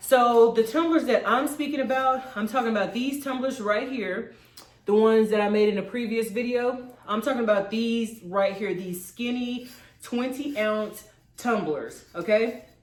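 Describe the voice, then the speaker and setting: A woman speaks at a moderate pace in a fairly high voice with ordinary pitch variation. Noticeable background noise and audible room echo fill the recording. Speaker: crafting YouTuber. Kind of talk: tutorial. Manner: casual, animated.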